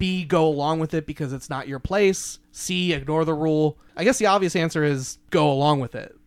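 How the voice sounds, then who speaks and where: Fairly high in pitch, a man with a plain, everyday voice talks at a fairly quick pace with hardly any pauses and ordinary pitch variation, on a very clean recording with a silent background. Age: 20s. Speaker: podcast host and newspaper writer. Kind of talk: casual chat.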